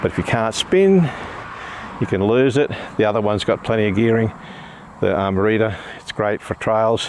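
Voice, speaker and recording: At a moderate pace and medium pitch, a man speaks with long, frequent pauses over noticeable background noise. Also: ordinary pitch variation. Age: 60s. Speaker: bike reviewer. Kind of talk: product review. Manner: halting.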